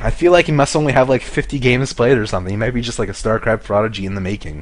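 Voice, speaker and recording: Very fast speech from a man at medium pitch, over noticeable background noise. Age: 20s. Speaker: esports caster. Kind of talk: live commentary. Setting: live stream. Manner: animated.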